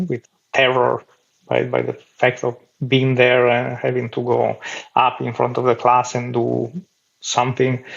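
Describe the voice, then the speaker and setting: A man speaks at a fairly slow pace with an Italian accent. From Italy. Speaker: clown. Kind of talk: interview.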